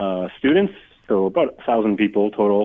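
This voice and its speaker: At a moderate pace, a man talks with a fairly low pitch. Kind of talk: radio interview. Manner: many ums and ahs.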